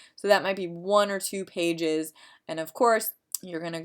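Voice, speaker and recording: A woman at a medium pitch in a very clean recording with a silent background. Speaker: college psychology instructor. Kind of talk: tutorial. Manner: fast.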